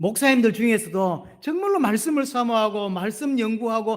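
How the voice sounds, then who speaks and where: A man's voice pitched high. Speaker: pastor. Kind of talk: sermon. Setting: church.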